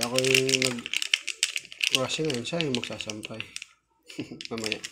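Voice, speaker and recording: The pace is very slow. A man is speaking. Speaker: vlogger. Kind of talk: home tutorial vlog. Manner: soft-spoken; halting.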